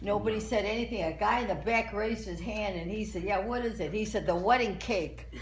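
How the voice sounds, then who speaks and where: A woman talks at a fairly quick clip with hardly any pauses and fairly even intonation, over noticeable background noise. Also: medium pitch for a woman. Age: 80s+. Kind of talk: joke telling at a party.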